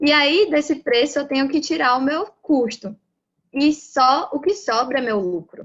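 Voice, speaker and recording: A woman speaks in a Bahian accent. Her pace is moderate. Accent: Bahian Brazilian Portuguese. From Brazil, Bahia. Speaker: lean manufacturing professional, lecturer. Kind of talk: lecture.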